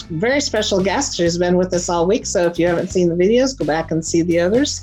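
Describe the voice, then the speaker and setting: A woman with a fairly low pitch talks at a very fast pace, with lively intonation and very even loudness. Music plays behind her. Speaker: show host. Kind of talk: talk show host intro.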